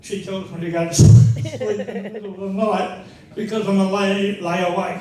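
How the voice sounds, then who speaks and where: A man talks at a moderate pace while noticeable background noise and audible room echo fill the recording. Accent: Australian. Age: 70s. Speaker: speaker on legal rights, former police officer. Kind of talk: public talk with audience questions.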